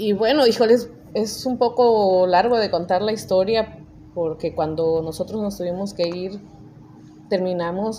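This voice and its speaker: Her pitch is medium, with ordinary variation. The woman speaks at a fairly slow pace. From Mexico, Chicontepec, Veracruz (Huasteca). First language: Nahuatl (speaking Spanish). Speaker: judge. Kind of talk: interview.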